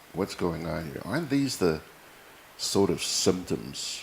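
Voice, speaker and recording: Against noticeable background noise, a man talks at a fairly slow pace with lively intonation. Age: 60s. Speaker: TV news and current affairs host. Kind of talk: casual personal monologue to viewers. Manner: animated.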